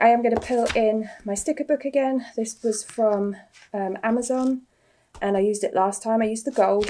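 A woman's dark, mellow tone, moderate pace and ordinary pitch variation

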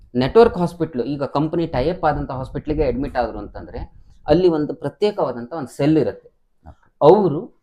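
A man with a dark, mellow tone shows big swings in loudness and ordinary pitch variation. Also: fairly high pitch for a man. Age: 50s. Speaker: insurance advisor. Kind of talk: interview.

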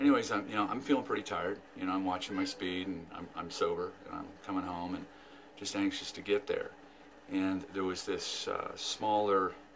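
Light background noise under a man's moderate-paced speech. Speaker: vlogger. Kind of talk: casual vlog chat. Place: home room. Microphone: phone near.

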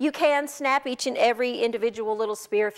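A woman with a high pitch, ordinary pitch variation and an American accent. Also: quiet background. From Baltimore, Maryland. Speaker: cooking show host. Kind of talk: cooking demonstration. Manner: casual, conversational. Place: studio. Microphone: lapel.

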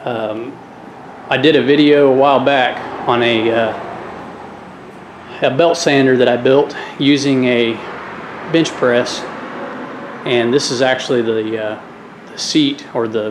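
A man speaks at a fairly slow pace with fairly even intonation and long, frequent pauses. Noticeable background noise is audible. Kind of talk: casual tour narration. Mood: relaxed, friendly. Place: gym. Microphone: phone near.

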